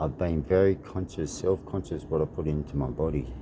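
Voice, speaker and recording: Noticeable background noise sits behind a man with an Australian accent and a very deep, low pitch. His tone is calm and relaxed, with fairly even intonation. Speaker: martial arts fighter. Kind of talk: casual vlog monologue. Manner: calm, relaxed.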